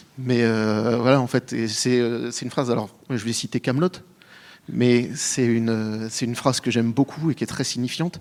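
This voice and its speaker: Using fairly even intonation, a man with a medium pitch talks at a moderate pace. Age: 30s. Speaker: panelist. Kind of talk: panel discussion. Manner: hesitant, many fillers.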